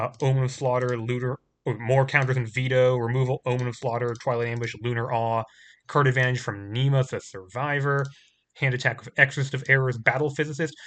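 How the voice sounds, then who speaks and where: At a fairly quick pace, a man speaks in a medium pitch with monotone, flat intonation over a quiet background. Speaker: card game player and video creator. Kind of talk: gameplay commentary. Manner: fast; halting.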